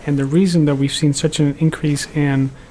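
A fairly high-pitched man with a Dutch accent, monotone and flat, at a fairly quick pace. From Netherlands. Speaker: cancer researcher, computational biologist. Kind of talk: interview.

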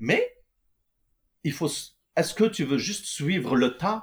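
Somewhat breathy and very slow, a man speaks with lively intonation. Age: 40s. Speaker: entrepreneur, electrical engineer. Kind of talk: casual interview. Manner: hesitant, many fillers.

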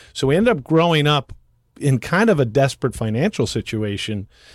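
Fairly high in pitch, a man with a normal speaking voice talks at a moderate pace with lively intonation, on a very clean recording with a silent background and a dry, close sound with no echo. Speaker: resort developer and entrepreneur. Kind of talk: podcast interview.

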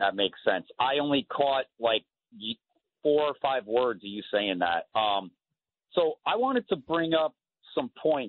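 A man speaks fairly slowly at a medium pitch, his pitch swinging very widely. His pauses are long and frequent. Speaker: caller. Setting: phone call.

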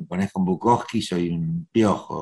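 A man with a Rioplatense accent at a very slow pace, fairly even in intonation, in a dry, close sound with no echo. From Argentina, Buenos Aires (Once). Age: 70s. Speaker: actor. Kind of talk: interview. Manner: hesitant, many fillers.

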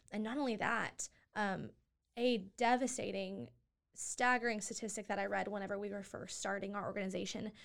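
A woman's medium-pitched voice with vocal fry, ordinary pitch variation and a fairly quick pace. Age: 20s. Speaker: nonprofit co-founder. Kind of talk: interview.

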